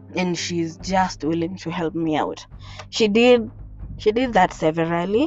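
A woman talks at a fairly slow pace with lively intonation. Her pitch is fairly low for a woman. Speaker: podcaster. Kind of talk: personal story monologue. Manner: rambling.

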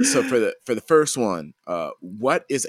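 The sound is dry and close with no echo as a man talks at a moderate speed. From US South (Georgia). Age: 30s. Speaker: podcast host and musician. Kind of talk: casual interview.

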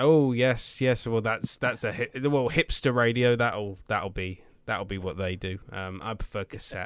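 A fairly slow delivery in a British accent, with ordinary pitch variation, on a very clean recording with a silent background. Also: man, medium pitch for a man. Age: 20s. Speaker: podcast host. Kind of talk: casual interview chat.

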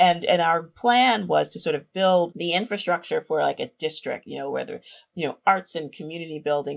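Speaking at a moderate pace, a woman uses a fairly low pitch. Her pitch varies in an ordinary way. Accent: New York. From New York City, South Bronx. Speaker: urban revitalization strategist. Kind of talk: interview.

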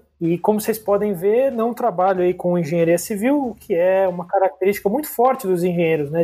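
A dark, mellow tone in a man's high voice. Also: hardly any pauses, very even loudness. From São Paulo city, Brazil. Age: 20s. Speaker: corporate management trainee. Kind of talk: casual interview.

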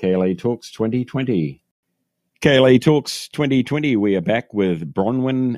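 In a New Zealand accent, a man talks with lively intonation. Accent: New Zealand, still retained. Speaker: podcast host. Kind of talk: casual interview chat. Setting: phone call.

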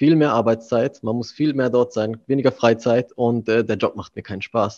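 A man's dark, mellow tone at medium pitch and moderate pace, fairly even in intonation, with a dry, close sound, no echo and a quiet background. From Germany. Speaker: manager. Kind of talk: interview. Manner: hesitant, many fillers.

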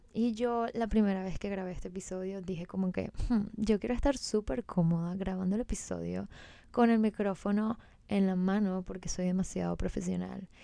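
In a very clean recording with a silent background, a woman with a Venezuelan accent speaks at a moderate pace and medium pitch, her tone dark and mellow and her intonation fairly even. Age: 20s. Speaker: podcast host and personal trainer. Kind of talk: casual solo podcast monologue.

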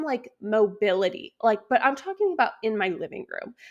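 A woman's animated voice with very wide pitch swings, on a very clean recording with a silent background. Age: 20s. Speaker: podcast host and online wellness coach. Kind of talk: casual solo podcast monologue.

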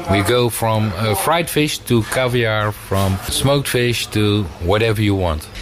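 Speech comes at a fairly slow pace with a Dutch accent and ordinary pitch variation. The loudness stays very even over noticeable background noise. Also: man, fairly low pitch for a man. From Netherlands, fishing town. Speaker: fishmonger. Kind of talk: interview.

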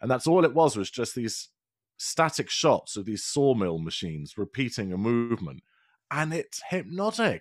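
With a British accent, a man speaks at medium pitch and a moderate pace, his pitch swinging very widely on a very clean recording with a silent background. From England. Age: 40s. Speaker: podcast producer and presenter. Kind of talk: casual interview chat.

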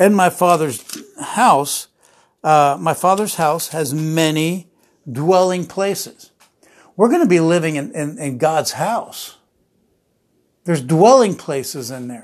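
A man with an American accent, fairly high-pitched, very slow, with lively intonation, big swings in loudness, and long, frequent pauses. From New Jersey. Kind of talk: sermon. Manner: halting.

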